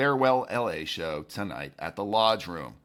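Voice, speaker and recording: Pitch swings very widely, and vocal fry is present. The background is silent in this very clean recording. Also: man. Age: over 25. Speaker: podcast host. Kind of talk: daily news podcast read.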